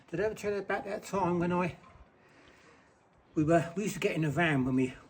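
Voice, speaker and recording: Noticeable background noise sits behind a man who talks at a very fast pace. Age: 70s. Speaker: retired bricklayer. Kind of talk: casual storytelling.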